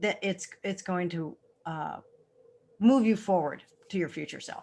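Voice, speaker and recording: Big swings in loudness mark a woman's medium-pitched voice with a dark, mellow tone, her pace fairly slow and her pitch variation ordinary. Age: 60s. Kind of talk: casual chat.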